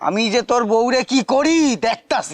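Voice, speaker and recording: A man's put-on character voice at an extremely high pitch, dry and close with no echo. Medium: short film. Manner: teasing, quarrelsome.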